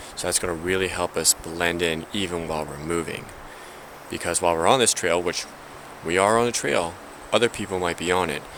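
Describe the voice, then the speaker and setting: Talking fairly quickly, a man with a very deep, low voice keeps his intonation fairly even while noticeable background noise plays. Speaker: outdoor survival vlogger. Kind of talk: outdoor tutorial. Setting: outdoors on a trail. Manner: quiet, low voice.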